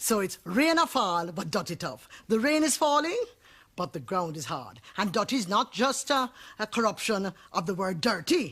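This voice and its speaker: A woman's medium-pitched voice with a Jamaican accent, very wide pitch swings and a moderate pace. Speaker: poet. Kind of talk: interview answer.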